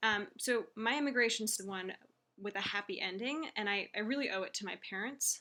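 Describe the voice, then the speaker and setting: A woman with a Californian accent, medium pitch, a bright, sharp tone and a moderate pace. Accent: General American, California. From US West Coast, Silicon Valley. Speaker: teacher. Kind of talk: reading aloud. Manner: hesitant, many fillers.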